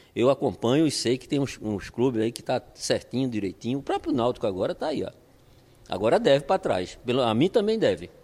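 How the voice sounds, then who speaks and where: A man with a Pernambuco accent speaks fairly quickly in a dark, mellow tone at medium pitch, with very wide pitch swings and big swings in loudness. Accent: Pernambuco Brazilian Portuguese. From Brazil, Pernambuco (Olinda). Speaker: football coach. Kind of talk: interview. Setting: at home.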